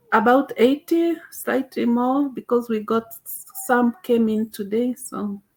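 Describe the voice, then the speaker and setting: A woman's high-pitched voice with big swings in loudness, dry and close with no echo. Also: ordinary pitch variation, fairly slow pace. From Kenya, central province. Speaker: vegan activist and cat sanctuary runner. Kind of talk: interview on a video call. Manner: halting, with many fillers.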